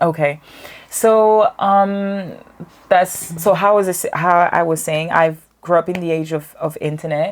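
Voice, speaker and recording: A woman's fairly low-pitched voice at a fairly slow pace, intonation fairly even. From France, Cameroonian parents. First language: French. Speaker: artist and photographer. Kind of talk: podcast interview. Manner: many fillers and restarts.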